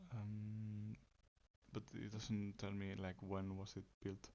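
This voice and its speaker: Soft-spoken and flat in intonation, a man speaks at a very slow pace. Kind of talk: ASMR soft-spoken facts reading.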